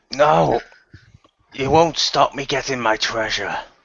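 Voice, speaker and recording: A raspy, put-on character voice speaks at a fairly slow pace. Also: man, medium pitch for a man. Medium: actual play. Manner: blustering, taunting.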